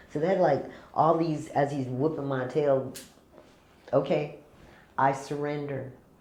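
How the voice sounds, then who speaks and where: A woman with a very deep, low pitch and a dark, mellow tone, with long, frequent pauses and audible room echo. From California. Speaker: chef and caterer. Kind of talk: casual interview chat. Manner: animated.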